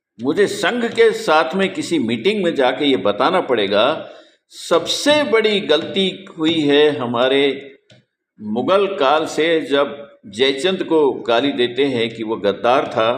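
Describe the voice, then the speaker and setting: The man's voice sits fairly high in pitch. It swings very widely up and down. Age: 70s. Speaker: spiritual teacher. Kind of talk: monologue. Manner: animated.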